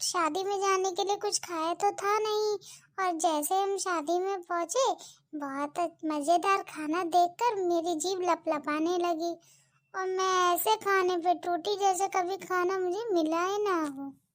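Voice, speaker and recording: In a cartoonish character voice, a woman talks at a fairly slow pace with an extremely high pitch, on a very clean recording with a silent background. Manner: chatty, sarcastic.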